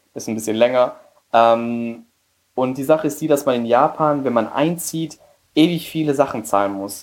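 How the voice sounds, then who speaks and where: A man with a Spanish accent talks at a moderate pace and a medium pitch. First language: Spanish (speaking German). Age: 20s. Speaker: emigrant and business graduate. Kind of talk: interview.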